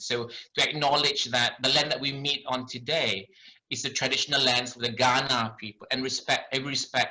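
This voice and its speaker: With a Malaysian accent, a man speaks in a bright, sharp tone. He keeps a moderate pace. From Malaysia, later Ireland. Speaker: doctor. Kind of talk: lecture.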